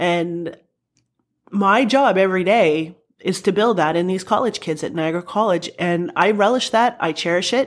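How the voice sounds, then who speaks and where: With an Ontario accent, a woman talks at a moderate pace in a medium pitch with ordinary pitch variation, on a very clean recording with a silent background. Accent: Canadian (Ontario). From Welland, Ontario, Canada. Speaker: college athletics director. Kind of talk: interview. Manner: engaging, animated.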